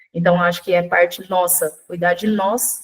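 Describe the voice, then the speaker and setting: An unremarkable speaking voice at a moderate pace. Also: woman. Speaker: nutrition speaker. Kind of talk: online workshop lecture.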